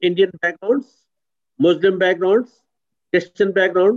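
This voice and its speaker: This man speaks at a high pitch. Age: 60s. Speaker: pastor and chaplain. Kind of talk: video call discussion. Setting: video call.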